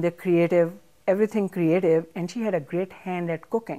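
Against a quiet background, a woman with a dark, mellow tone talks at a fairly quick pace with fairly even intonation. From Pakistan, Punjab. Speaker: chef and cookbook author; interview guest. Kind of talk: interview. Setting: library. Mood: warm, reminiscing about mother. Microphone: lapel.

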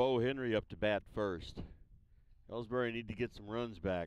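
A man speaks at a medium pitch with fairly even intonation in a normal speaking voice, the sound dry with no echo. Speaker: sports commentator. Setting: outdoors at a baseball field broadcast. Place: stadium.

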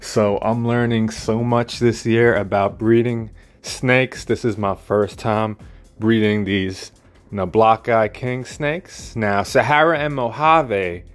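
A man speaks at a very slow pace with ordinary pitch variation. Faint music plays in the background. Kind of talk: casual vlog chat. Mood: pleased, enthusiastic. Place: home room. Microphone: phone near.

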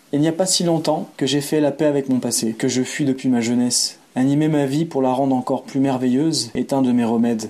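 Medium in pitch, a man has a normal speaking voice with fairly even intonation and very even loudness. He talks at a fairly quick pace with hardly any pauses. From France, Savoie (Aix-les-Bains). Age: 30s. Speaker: boxing and self-defence practitioner, traveller. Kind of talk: first-person narrative read aloud.

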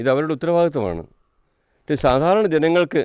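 A man's fairly high voice with ordinary pitch variation, over a quiet background. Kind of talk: statement to media.

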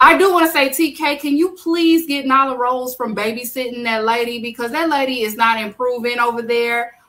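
Her high-pitched voice has a bright, sharp, animated tone and ordinary pitch variation. The woman keeps a moderate pace with hardly any pauses. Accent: American. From Texas. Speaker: wrestling podcast host. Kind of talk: casual chat.

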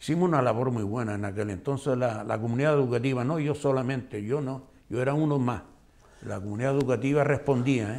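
This man talks very fast, and his pitch moves in an ordinary way. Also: medium pitch for a man. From Canary Islands, Gran Canaria (La Aldea de San Nicolás); Canary Islands. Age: old. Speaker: retired schoolteacher. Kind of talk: interview. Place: studio. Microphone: lapel.

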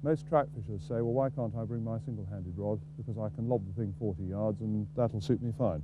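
A man talks at a fairly quick pace. There is noticeable background noise, and the sound is dry with no echo. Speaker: fishing casting instructor. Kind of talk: tutorial. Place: waterside.

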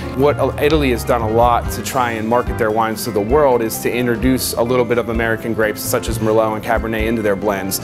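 This man speaks at a very fast pace, with ordinary pitch variation. Clear music plays in the background. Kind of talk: interview answer. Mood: enthusiastic, promotional. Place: bar.

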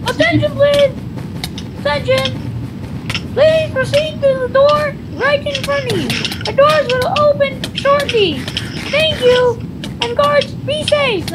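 Over loud background noise, someone performs a put-on character voice at a fairly slow pace. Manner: formal, authoritative.

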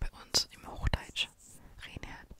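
Whispering and soft-spoken, the voice moves at a moderate pace, with a dry sound with no echo and noticeable background noise. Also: woman. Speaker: video creator. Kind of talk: casual vlog chat. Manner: soft close-mic ASMR whisper. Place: home room. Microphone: studio mic.

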